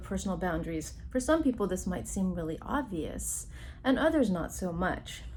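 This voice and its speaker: Speaking at a moderate pace, a woman's voice carries audible room echo. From immigrant Taiwanese Chinese family background. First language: Chinese (Mandarin or Taiwanese). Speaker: psychologist. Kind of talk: recorded workshop talk. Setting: remote recording.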